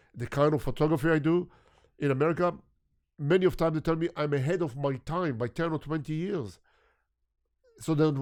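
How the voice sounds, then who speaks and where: A man speaks at a fairly quick pace with ordinary pitch variation, leaving long, frequent pauses. The background is quiet. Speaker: photographer. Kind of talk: interview conversation.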